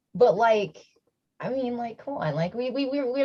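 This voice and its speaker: Fairly high in pitch, a woman speaks with a Midwestern American accent and a dark, mellow tone. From US Midwest, Milwaukee, Wisconsin. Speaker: panel speaker, sex worker. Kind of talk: panel discussion. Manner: casual, many fillers.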